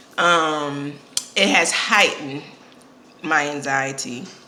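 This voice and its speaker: A woman speaks with a very deep, low pitch and fairly even intonation. The room echo is audible, and there is noticeable background noise. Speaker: vlogger and podcast host. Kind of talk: casual vlog. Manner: hesitant, many fillers.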